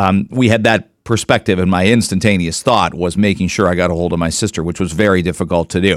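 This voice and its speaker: A man's fairly low voice at a fairly quick pace, very clean and dry, close-miked with no echo, over a silent background. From Canada. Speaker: radio host. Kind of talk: radio talk show. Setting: studio. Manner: animated.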